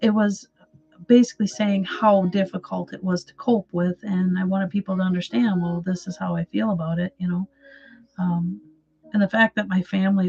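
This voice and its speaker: A woman's medium-pitched voice with fairly even intonation, dry and close with no echo. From Wisconsin, US. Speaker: artist and mental health livestreamer. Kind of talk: casual livestream chat with viewers. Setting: livestream. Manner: hesitant, many fillers and repeats.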